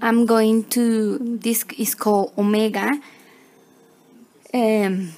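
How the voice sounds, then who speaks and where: Speaking very slowly with long, frequent pauses, a woman with a fairly high pitch and a non-native accent keeps a fairly even intonation over noticeable background noise. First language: not English. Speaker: crochet tutorial maker. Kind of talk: tutorial. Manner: halting, with many fillers.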